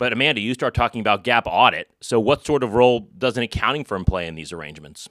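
In a very clean recording with a silent background, a man talks at a very fast pace with hardly any pauses, lively intonation, vocal fry and big swings in loudness. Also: medium pitch for a man. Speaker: accounting firm partner and podcast host. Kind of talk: conversational business podcast interview.

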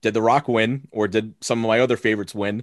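A man with an American accent and an ordinary speaking voice at medium pitch, a fairly quick pace, a quiet background, and a dry, close sound with no echo. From Long Island, New York. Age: 20s. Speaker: wrestling card podcaster. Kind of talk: casual chat. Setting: video call.

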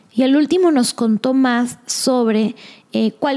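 This woman has a plain, everyday voice with ordinary pitch variation. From Mexico. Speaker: podcast host.

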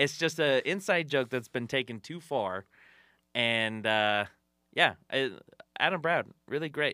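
A man with an American accent, a medium pitch and a bright, sharp tone, fairly slow with long, frequent pauses and lively intonation, in a very clean recording with a silent background and a dry, close sound with no echo. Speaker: podcast host and comedian. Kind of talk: casual chat. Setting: studio.

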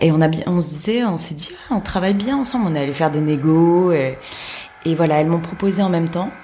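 With lively intonation and a fairly low pitch, a woman talks at a fairly quick pace amid noticeable background noise and audible room echo. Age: 30s. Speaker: film producer. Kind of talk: interview conversation. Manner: halting, many hesitations.

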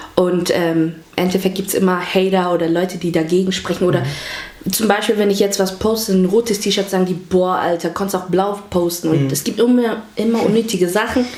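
A woman's fairly quick, fairly even-toned speech over noticeable background noise. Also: medium pitch for a woman. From Hamburg, Germany. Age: 20s. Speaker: vlogger. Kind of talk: casual interview.

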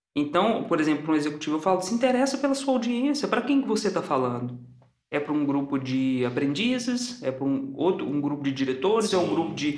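Audible room echo surrounds a man with a fairly high voice who talks at a very fast pace. His pitch swings very widely while his loudness stays very even. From Belo Horizonte, Minas Gerais, Brazil. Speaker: theatre director and acting teacher. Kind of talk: casual interview.

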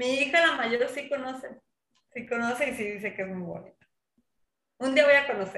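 Speaking at a moderate pace with long, frequent pauses, a woman uses a high, bright, sharp voice with ordinary pitch variation and big swings in loudness. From Mexico, Sinaloa (Guamúchil area). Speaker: social psychologist, water culture official. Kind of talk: casual interview chat.

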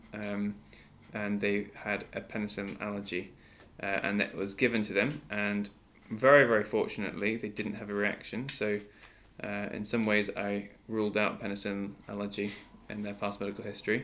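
A man's fairly low, monotone, flat voice at a moderate pace, in a very clean recording with a silent background. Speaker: podcast host and junior doctor. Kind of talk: casual chat. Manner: halting.

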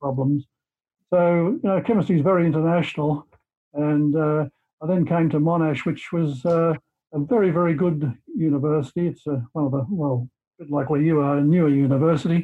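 A man talks in an Australian accent at a fairly quick pace. His pitch is fairly high. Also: fairly even intonation, very even loudness. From Australia, rural Victoria. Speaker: chemistry professor. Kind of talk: interview.

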